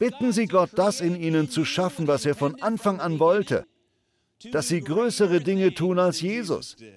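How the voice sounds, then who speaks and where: A man speaks at a moderate pace in a high pitch. His intonation is lively. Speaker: preacher. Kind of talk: sermon. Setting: church. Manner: animated, conversational, persuasive; warm, self-deprecating, humorous.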